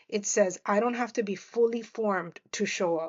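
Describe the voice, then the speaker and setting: Moderate pace in a Miami accent, with ordinary pitch variation. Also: woman. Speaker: media professional and podcast host. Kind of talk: reflective monologue. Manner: halting, many fillers and restarts.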